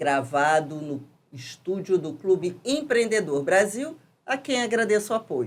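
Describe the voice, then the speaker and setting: A woman talks at a fairly slow pace in a medium pitch, her pitch swinging very widely. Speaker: podcast host; architect and urban planner. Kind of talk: podcast interview questions.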